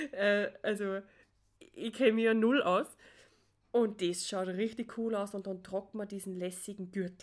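A woman's medium-pitched voice with an Austrian accent, fairly slow and fairly even in intonation, on a very clean recording with a silent background. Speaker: podcaster. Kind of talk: personal monologue.

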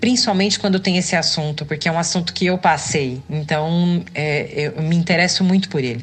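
Over music in the background, a woman with a fairly low voice talks at a fairly quick pace with hardly any pauses. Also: ordinary pitch variation. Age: 30s. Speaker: podcast host, physical education student. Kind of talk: personal testimony monologue. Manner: hesitant, many filler sounds.

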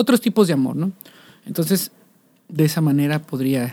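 The sound is dry and close, with no echo. A man speaks with lively intonation. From Mexico, Coatepec, Veracruz. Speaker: musician. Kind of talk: casual interview chat.

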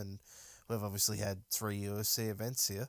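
Speaking with an Australian accent, a man delivers fairly low-pitched, monotone, flat lines on a very clean recording with a silent background. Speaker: MMA podcast host. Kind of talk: solo casual commentary. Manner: halting with many fillers.

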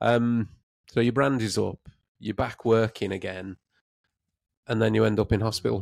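A man speaks with a West Midlands accent at a fairly low pitch, at a moderate pace. His intonation is fairly even, and he leaves long, frequent pauses. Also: dry, close sound with no echo. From England, Redditch (West Midlands). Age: 30s. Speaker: podcast host. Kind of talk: casual interview chat.

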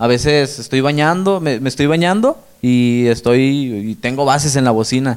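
A man speaks with a Mexican accent at a fairly high pitch. He goes at a fairly slow pace, with ordinary pitch variation. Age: 20s. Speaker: rapper. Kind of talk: casual interview.

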